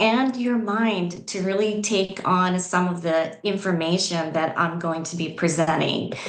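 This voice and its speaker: Speaking at a fairly slow pace with a slight Southeast European accent, a woman is heard over noticeable background noise and audible room echo. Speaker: spiritual coach. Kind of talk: conference presentation. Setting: video call.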